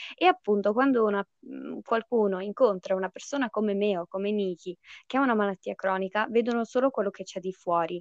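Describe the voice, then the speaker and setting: Speaking at a fairly quick pace, a woman uses an ordinary speaking voice at medium pitch with ordinary pitch variation. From United States and Italy. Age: 20s. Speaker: podcast host with chronic illness. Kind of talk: casual chat, podcast intro.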